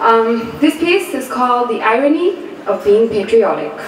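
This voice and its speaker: A woman talks at a moderate speed. Noticeable noise sits in the background. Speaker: spoken word poet. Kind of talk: casual introduction to audience.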